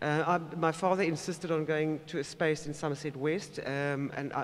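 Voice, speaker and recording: A man's fairly high-pitched voice with fairly even intonation. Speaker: moderator. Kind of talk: panel discussion. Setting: stage with audience. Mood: earnest, personal. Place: hall. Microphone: podium.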